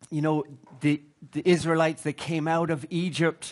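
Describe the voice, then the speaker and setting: The background stays quiet while a man talks. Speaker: preacher. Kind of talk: sermon. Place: hall.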